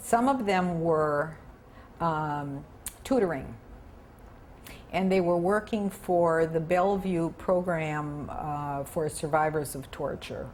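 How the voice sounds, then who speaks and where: Audible room echo follows a woman with an American accent as she speaks at a very slow pace, pitched fairly low with ordinary pitch variation and long, frequent pauses. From US Midwest. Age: 70s. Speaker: retired broadcaster and Peace Corps volunteer. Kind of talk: interview. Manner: animated.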